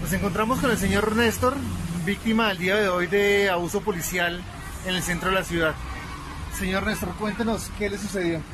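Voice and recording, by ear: A man's high-pitched voice at a fairly quick pace, with fairly even intonation and long, frequent pauses, over clear background noise and clear crowd noise in the background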